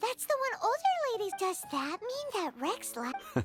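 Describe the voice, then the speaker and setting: A squeaky, put-on character voice at an extremely high pitch, swinging very widely up and down at a moderate pace over clear background music. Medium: game stream. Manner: excitable.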